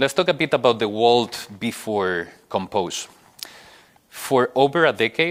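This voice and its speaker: Fairly low in pitch, a man speaks in a Spanish accent at a fairly slow pace. His pitch varies in an ordinary way. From Spain. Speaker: software engineer, conference speaker. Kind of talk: conference talk. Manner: hesitant, many fillers.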